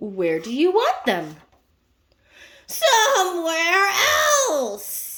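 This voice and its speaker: A woman's put-on character voice at an extremely high pitch, delivered at a very slow pace. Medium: read story.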